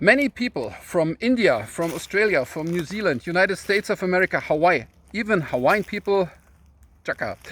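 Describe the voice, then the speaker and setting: A man's high-pitched voice at a fairly quick pace with lively intonation, dry and close with no echo, very clean recording with a silent background. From Germany. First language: German. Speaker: YouTuber. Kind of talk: casual video talk. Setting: outdoors in a forest. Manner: halting, many fillers.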